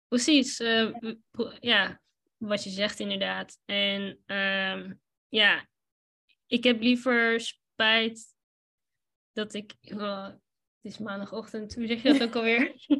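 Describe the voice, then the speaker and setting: A woman with a fairly high, bright, sharp voice talks at a very slow pace with long, frequent pauses. Her intonation is fairly even, but her loudness swings widely. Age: 30s. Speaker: lawyer and photographer. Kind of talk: casual interview. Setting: live recording.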